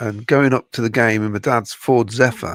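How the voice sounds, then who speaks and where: Dry and close with no echo, a man speaks in a West Midlands accent at a very slow pace. His pitch is medium and his intonation fairly even. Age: 60s. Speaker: football podcast panelist. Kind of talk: casual chat. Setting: live streamed podcast watchalong.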